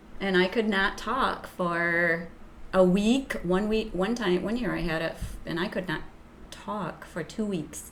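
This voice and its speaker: In a room with audible echo, a woman of medium pitch speaks at a fairly slow pace with ordinary pitch variation. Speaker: schoolteacher. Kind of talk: casual chat.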